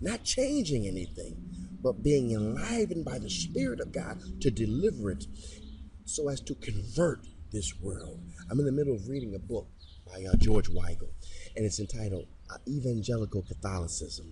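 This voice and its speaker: A man with an American accent speaks at a fairly low pitch in a dark, mellow tone with vocal fry, very wide pitch swings, and long, frequent pauses, with audible room echo. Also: moderate pace. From Detroit, Michigan. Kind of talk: religious podcast monologue. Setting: recording on location near a chapel.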